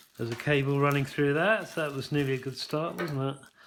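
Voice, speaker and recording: The man's mid-range voice is heard over noticeable background noise. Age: 60s. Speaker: product reviewer. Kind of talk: casual unboxing review. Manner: hesitant, many ums.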